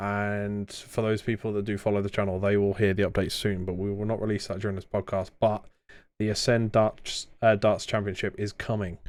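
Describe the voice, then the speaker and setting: A man's fairly low, monotone, flat voice with a slight southern English accent, at a fairly quick pace, in a very clean recording with a silent background. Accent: slightly posh rural southern English. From southern England. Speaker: podcast host. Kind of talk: casual chat.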